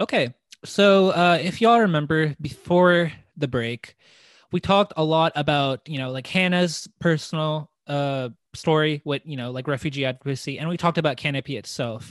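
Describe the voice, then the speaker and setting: A man speaks in an ordinary speaking voice with an American accent, his pitch fairly high and varying in an ordinary way. The pace is moderate, and the sound is dry and close with no echo over a quiet background. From US South, small-town Arkansas. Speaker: podcast host. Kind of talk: interview.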